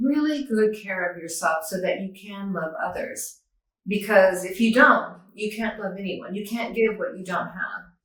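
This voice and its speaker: Audible room echo surrounds a woman talking at a moderate pace. Her pitch is medium and varies in an ordinary way. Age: 60s. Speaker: near-death experiencer, yoga teacher and author. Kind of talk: interview testimony.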